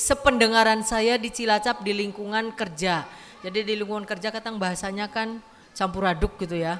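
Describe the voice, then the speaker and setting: A woman speaks at a fairly quick pace with a medium pitch and fairly even intonation. Noticeable background noise is present. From West Java, Sundanese area (Dayeuhluhur). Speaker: community women's organization leader. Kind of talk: welcome speech. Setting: community hall event with audience. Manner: casual, conversational.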